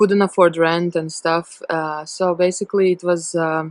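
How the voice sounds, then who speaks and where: In a Latvian accent, the speaker uses monotone, flat intonation at a fairly slow pace, with a dry, close sound and no echo. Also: woman. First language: not English (third language). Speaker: storyteller sharing a personal testimony. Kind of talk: testimony. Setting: self-recorded video. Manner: halting, with many fillers.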